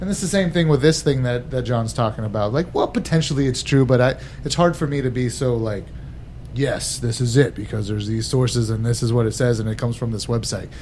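Over noticeable background noise, a man speaks very fast at medium pitch with ordinary pitch variation. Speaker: whiskey bar owner. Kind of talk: casual chat.

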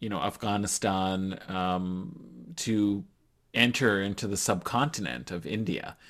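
In a very clean recording with a silent background, a man with an ordinary speaking voice talks at a fairly slow pace in a fairly low pitch. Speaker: Afghanistan expert, academic. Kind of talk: interview discussion, analytical.

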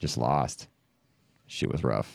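A man with an American accent speaks with vocal fry in a very clean recording with a silent background. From California, Stockton. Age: 30s. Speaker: podcast host and musician. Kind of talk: casual chat.

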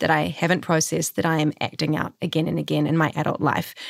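A woman's fairly low, fairly quick voice with vocal fry. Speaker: podcast co-host and actor. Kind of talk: casual chat. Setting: video call.

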